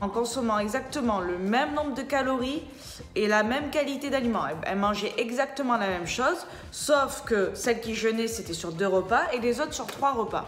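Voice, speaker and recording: Loud and animated, a woman speaks at a high pitch and moderate pace with lively intonation, amid audible room echo and noticeable background noise. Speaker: personal trainer. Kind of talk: casual explainer vlog. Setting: indoors.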